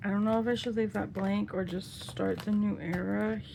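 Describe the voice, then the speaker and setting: A woman speaks quietly at a moderate pace. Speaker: K-pop photocard collector vlogger. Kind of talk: casual hobby video narration. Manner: quiet, focused; chatty, halting with fillers.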